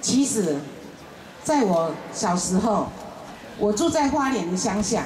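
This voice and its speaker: A woman's fairly high voice at a very slow pace, with very wide pitch swings, very even loudness, long, frequent pauses, audible room echo and light background noise. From Taiwan. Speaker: baptism candidate giving testimony; candidate. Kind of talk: testimony. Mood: earnest, heartfelt. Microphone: handheld.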